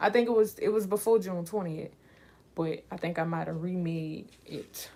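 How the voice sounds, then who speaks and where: A speaker with a New Orleans accent talks at a moderate pace in a relaxed tone. The voice is dark and mellow, with fairly even intonation. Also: woman. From New Orleans, Louisiana. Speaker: livestreamer and aspiring author. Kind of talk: casual livestream chat. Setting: live stream. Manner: relaxed, chatty with fillers.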